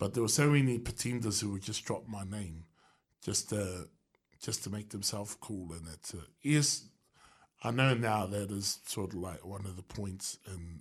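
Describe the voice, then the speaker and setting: A man with a New Zealand accent, fairly low in pitch and somewhat breathy, at a moderate pace with ordinary pitch variation and a quiet background. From New Zealand, Wellington. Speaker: beatboxer and street musician. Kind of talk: radio interview. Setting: radio studio. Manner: halting.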